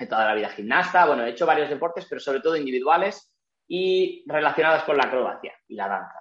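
A man with a normal speaking voice, fairly high in pitch, lively intonation. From Spain, Barcelona (Catalonia). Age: 30s. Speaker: Pilates instructor and physical educator. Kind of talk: interview.

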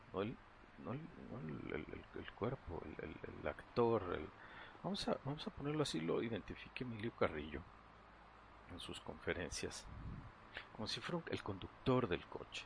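This man's medium-pitched voice carries vocal fry and very wide pitch swings, moving at a moderate pace broken by long, frequent pauses. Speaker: meditation guide. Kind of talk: guided meditation. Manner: halting.

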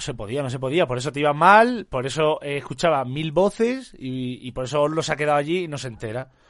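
With hardly any pauses, the speaker sounds animated and shows ordinary pitch variation. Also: man. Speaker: streamer. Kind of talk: live stream chat.

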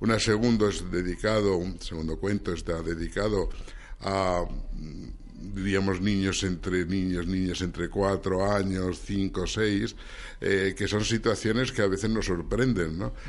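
With audible room echo, a man speaks slowly-ish at a fairly slow pace, his pitch fairly low and his intonation fairly even. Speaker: science section coordinator and children's author. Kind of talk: radio interview.

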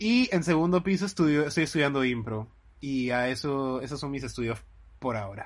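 A man with a plain, everyday voice talks at a fairly quick pace and a fairly high pitch, with lively intonation. The background is quiet. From Lima, Peru. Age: 20s. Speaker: podcast co-host, actor. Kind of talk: casual chat.

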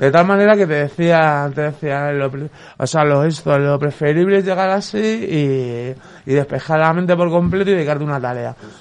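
An unremarkable speaking voice, this man's is fairly high in pitch, with ordinary pitch variation and a moderate pace. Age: 40s. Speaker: mental health service user. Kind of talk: casual chat.

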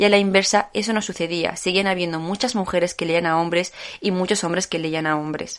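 Over a quiet background, the speech runs at a fairly quick pace with monotone, flat intonation. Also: woman. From Morocco (Tetouan). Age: young. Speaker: writer. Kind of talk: literary talk. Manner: hesitant.

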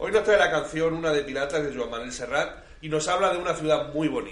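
Audible room echo surrounds a man speaking at a very fast pace. His pitch sits fairly high. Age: 30s. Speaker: community radio host. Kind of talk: casual chat.

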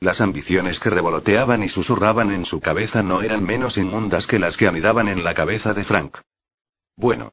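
A plain, everyday voice from a man, fairly low in pitch, at a moderate pace with ordinary pitch variation. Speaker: audiobook narrator. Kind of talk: dramatic audiobook narration. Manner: suspenseful, gravely theatrical, shifting into tense dialogue voices.

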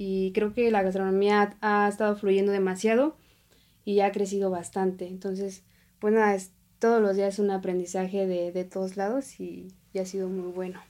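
Medium pitch from a woman, dark, mellow tone, monotone, flat intonation, moderate pace. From Oaxaca, Mexico. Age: 20s. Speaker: chef. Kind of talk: casual chat. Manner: halting.

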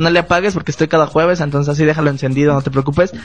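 A man talks at a fairly high pitch. Music can be heard behind him. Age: 20s. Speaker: podcast host. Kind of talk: casual chat. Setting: studio with small live audience and cameras. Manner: animated.

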